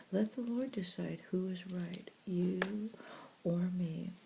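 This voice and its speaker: Soft-spoken, the speaker goes at a very slow pace. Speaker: audio Bible reader. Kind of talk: soft-spoken Bible reading. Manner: soft-spoken, gentle.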